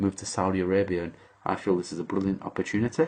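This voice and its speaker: A man's very deep, low voice against a quiet background. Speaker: English teacher. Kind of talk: job application video monologue. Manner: hesitant, many fillers.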